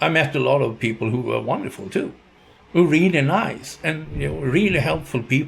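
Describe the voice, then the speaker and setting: This man talks fairly quickly with a Swedish accent and a fairly high pitch. Vocal fry runs through his voice. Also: ordinary pitch variation. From Sweden. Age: 60s. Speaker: YouTuber, retiree. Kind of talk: casual monologue vlog. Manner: halting.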